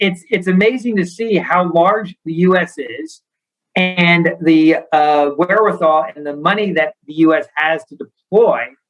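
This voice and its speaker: A man with an American accent speaks at a fairly slow pace in a high pitch, with ordinary pitch variation and big swings in loudness. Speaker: bank founder and CEO. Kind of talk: interview.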